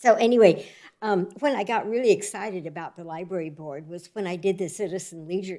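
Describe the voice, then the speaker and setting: A woman talks in a plain, everyday voice with an American accent. Her pace is moderate and her pitch variation ordinary. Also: very clean recording, silent background. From US West Coast (Oregon, Northern California). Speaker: new library board member. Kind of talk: self-introduction at a public board meeting. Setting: city library board meeting.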